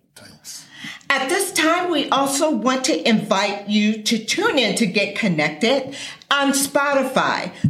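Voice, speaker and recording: Over noticeable background noise, a woman talks very slowly at a high pitch with very wide pitch swings. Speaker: radio announcer. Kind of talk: scripted announcement. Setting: studio.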